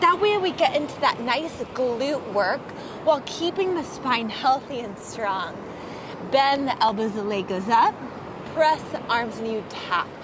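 At a fairly slow pace, a woman with a high pitch speaks in a dry sound with no echo, with noticeable background noise present. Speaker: fitness instructor. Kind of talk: workout instruction.

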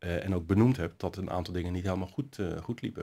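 A man speaks with a very deep, low pitch and ordinary pitch variation. The background is quiet. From Netherlands, Nieuwkoop; Netherlands. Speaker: city councillor. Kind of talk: interview. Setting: studio. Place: hall.

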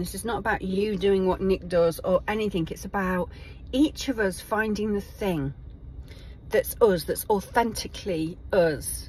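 Breathy to some degree, a woman speaks at a fairly slow pace with ordinary pitch variation. The sound is dry with no echo, and there is light background noise. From England. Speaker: video blogger. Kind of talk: personal video diary. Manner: halting. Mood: warm, reflective. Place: car. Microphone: phone near.

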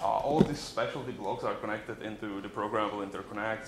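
Over light background noise and audible room echo, a man with a fairly low voice talks at a fairly quick pace. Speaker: embedded software engineer. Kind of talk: conference talk. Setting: stage with audience. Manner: fast talker. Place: classroom.

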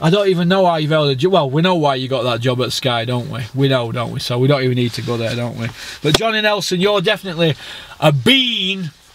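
A man's very fast delivery with lively intonation, in a dry sound with no echo over light background noise. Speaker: boxing fan vlogger. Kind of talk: ranting commentary. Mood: angry, mocking rant. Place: car. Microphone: phone near.

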